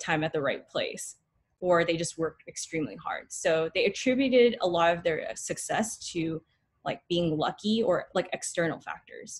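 A woman with an American accent uses a normal speaking voice, fairly low in pitch, at a moderate pace with ordinary pitch variation against a quiet background. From Northern California, Bay Area; Northern California. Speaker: dental student; presenter. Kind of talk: student lecture presentation. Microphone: webcam.

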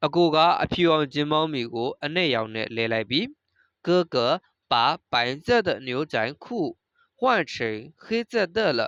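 Speech comes at a very slow pace with a Burmese accent. The background is quiet. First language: Burmese (speaking Chinese). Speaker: Chinese language teacher. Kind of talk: lecture.

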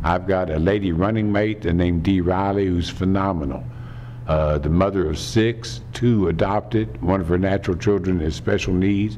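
Speaking at a moderate pace with an American accent, a man uses a very deep, low pitch and ordinary pitch variation over light background noise. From Kentucky, Lexington; Kentucky. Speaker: political candidate; candidate. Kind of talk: campaign speech. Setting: theater fundraiser with audience. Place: meeting room. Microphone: podium.

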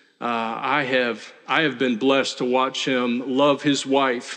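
Speech at a moderate pace over a quiet background. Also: man. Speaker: pastor giving an ordination charge. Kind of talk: sermon. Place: church.

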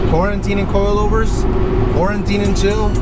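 A moderate pace in a dry sound with no echo, with music in the background. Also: man. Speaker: car hobbyist vlogger. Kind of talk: casual vlog chat. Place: car. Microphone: phone near.

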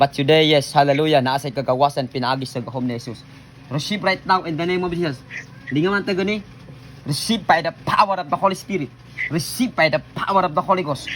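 Speaking at a very fast pace, a man with a fairly high pitch sounds animated, his pitch varying in an ordinary way. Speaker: pastor leading healing prayer. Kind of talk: deliverance prayer. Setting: online video, praying over someone via camera. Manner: loud, forceful commanding shouts; fervent, repetitive, animated.

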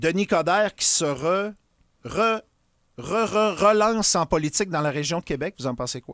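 A man's high-pitched voice at a moderate pace, lively in intonation, with a dry sound and no echo. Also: quiet background. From Quebec. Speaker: radio host. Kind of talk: casual radio interview. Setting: studio. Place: studio. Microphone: studio mic.

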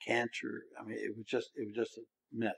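A man speaks with an American accent. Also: dry, close sound with no echo. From Maryland Eastern Shore, Salisbury. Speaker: retired mayor. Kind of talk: interview. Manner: halting.

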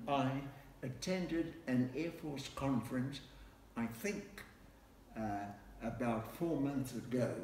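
The speech moves at a very slow pace. Audible room echo and light background noise are present. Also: man. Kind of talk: interview answer. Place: home room. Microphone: camera far.

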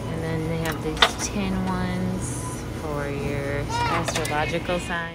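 Very slow speech over loud background noise. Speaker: shopper vlogger. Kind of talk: ASMR shopping walk-through, casual talk to camera. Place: shop. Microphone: phone near.

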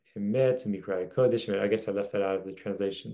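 Against a quiet background, a man speaks with a dark, mellow tone and a fairly low pitch. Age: 40s. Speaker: religious teacher; teacher. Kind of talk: lecture. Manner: casual with frequent fillers. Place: home room. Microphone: webcam.

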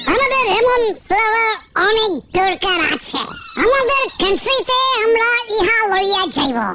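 A woman's cartoonish character voice, extremely high in pitch, at a moderate pace over clear background noise. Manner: formal, stiff, enthusiastic.

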